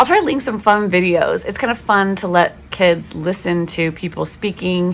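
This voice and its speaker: A woman with a West Coast accent, moderate pace and ordinary pitch variation. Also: medium pitch for a woman. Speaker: homeschooling parent and video host. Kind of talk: casual tutorial talk. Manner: chatty, frequent fillers.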